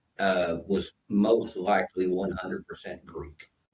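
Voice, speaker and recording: A man speaks fairly slowly. He has an Appalachian accent. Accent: Appalachian Southern dialect. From Kentucky, Appalachia. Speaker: co-host of a Bible discussion show. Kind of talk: casual discussion. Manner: halting, many fillers.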